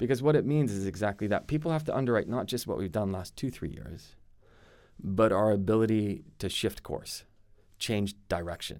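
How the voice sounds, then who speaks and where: An ordinary speaking voice with an American accent. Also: man, fairly low pitch for a man, moderate pace, very clean recording, silent background. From Arizona, US. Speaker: finance firm CEO. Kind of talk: casual interview chat.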